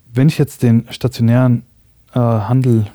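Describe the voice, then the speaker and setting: A man's voice with a dark, mellow tone comes through with a dry, close sound and no echo. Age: 30s. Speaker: startup founder. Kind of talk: interview. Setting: studio.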